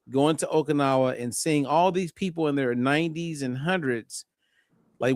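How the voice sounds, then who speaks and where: Recorded very cleanly against a silent background, a man with a plain, everyday voice speaks at a moderate pace and fairly high pitch. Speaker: clinical nutritionist. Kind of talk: health talk show discussion.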